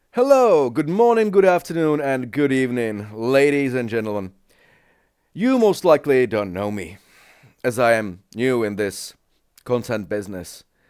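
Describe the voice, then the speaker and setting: With a Czech accent, a man speaks at a medium pitch and a moderate pace. His intonation is lively. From Czech Republic. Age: 40s. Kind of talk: casual reaction commentary.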